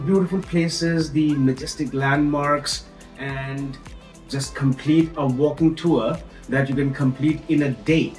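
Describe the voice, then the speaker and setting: A man speaks at a fairly slow pace with fairly even intonation, his voice carrying audible room echo over faint background music. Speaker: travel vlogger. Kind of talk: casual vlog chat. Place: home room.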